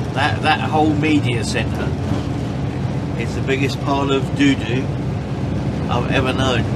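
A man talks at a fairly slow pace while loud background noise fills the recording. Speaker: vlogger. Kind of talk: casual vlog chat. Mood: jokey, mildly grumbling. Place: car. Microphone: camera far.

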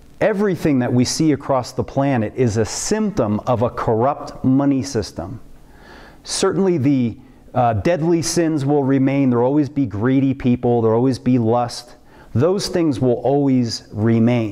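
The background is quiet. A man speaks in a dark, mellow tone with lively intonation. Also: moderate pace. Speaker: preacher. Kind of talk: sermon. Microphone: webcam.

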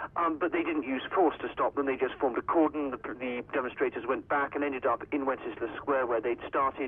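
With light background noise behind him, a man talks at a fairly quick pace with hardly any pauses and fairly even intonation. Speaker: news correspondent. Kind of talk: news report by phone. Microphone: phone line.

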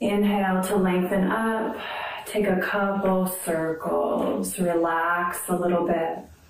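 A woman's very slow, monotone, flat delivery, with audible room echo and light background noise. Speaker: yoga instructor. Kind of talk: guided yoga class, calm step-by-step cueing. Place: home room.

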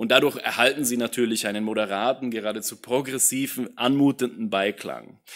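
A man talks at a fairly quick pace with hardly any pauses and a medium pitch. His intonation is fairly even, and the background is quiet. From Austria. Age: 30s. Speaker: political science professor. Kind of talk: lecture. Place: hall. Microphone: podium.

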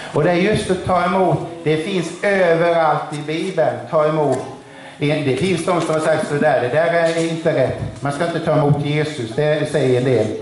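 A man with fairly even intonation, audible room echo and light background noise. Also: moderate pace. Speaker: preacher. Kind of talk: sermon. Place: church. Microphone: camera far.

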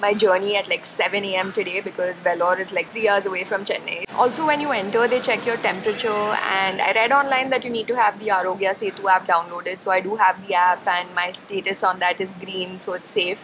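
Hardly pausing, a woman talks at a fairly quick pace with ordinary pitch variation over noticeable background noise. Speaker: travel vlogger. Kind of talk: casual vlog chat. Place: station. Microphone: phone near.

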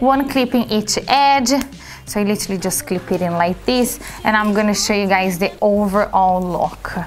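A woman talks at a moderate pace with ordinary pitch variation. There is light noise behind her. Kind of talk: product demonstration tutorial. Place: shop.

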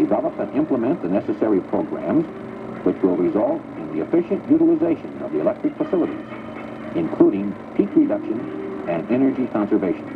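A man at a very fast pace over noticeable background noise. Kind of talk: 1980s corporate film narration, scripted voiceover. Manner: formal, even-paced, authoritative, stately announcer delivery.

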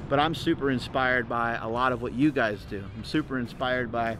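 Noticeable background noise runs under a man's voice. He speaks at a fairly quick pace in a dry sound with no echo. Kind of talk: casual vlog chat. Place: street. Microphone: phone near.

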